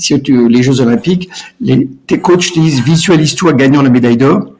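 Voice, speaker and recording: This man's voice sits at a fairly high pitch with ordinary variation. He keeps a moderate pace and very even loudness. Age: 60s. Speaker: entrepreneur. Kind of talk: podcast interview. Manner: hesitant, repeats words.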